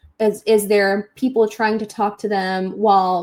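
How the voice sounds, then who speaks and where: Speaking in a plain, everyday voice, a woman keeps her intonation fairly even. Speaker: instructional designer presenting a webinar session. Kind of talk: webinar presentation.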